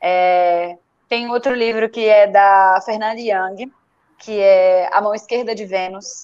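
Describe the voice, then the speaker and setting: A woman with a fairly high pitch at a very slow pace. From Brazil, Recife. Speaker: writer. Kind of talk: casual chat.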